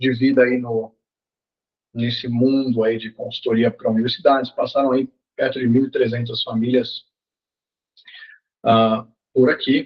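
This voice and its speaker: Flat and monotone, a man's medium-pitched voice moves at a fairly slow pace with long, frequent pauses. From Brazil, Salvador (Bahia). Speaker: college sports consultant. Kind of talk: masterclass talk. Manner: casual, conversational.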